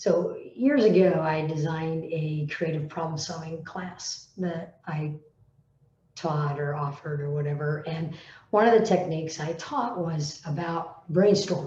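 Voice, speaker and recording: The woman's voice sits fairly low and moves at a fairly slow pace. Her pitch varies normally, and the room echo is audible. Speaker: teacher and coach. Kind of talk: solo vlog talk. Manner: hesitant, with fillers.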